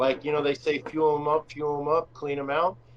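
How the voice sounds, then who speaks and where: A man speaks at a fairly high pitch. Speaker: RC car racer. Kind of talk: casual chat. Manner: loud; animated.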